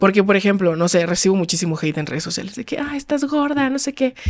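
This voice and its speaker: A woman talks at a fairly quick pace, her pitch swinging very widely. The recording is very clean, with a silent background. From Mexico, Los Cabos. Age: 20s. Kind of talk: casual chat.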